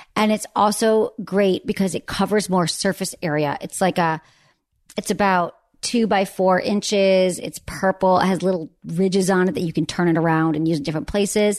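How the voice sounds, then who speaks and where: Over a quiet background, a woman with an American accent and an unremarkable speaking voice talks at a moderate pace and medium pitch, with fairly even intonation. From Michigan. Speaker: sex therapist. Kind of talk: casual chat. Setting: host's home.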